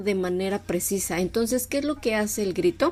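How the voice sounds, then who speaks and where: This is a woman speaking. Her pitch is medium, with ordinary pitch variation. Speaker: radio show co-host. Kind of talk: conversational radio discussion.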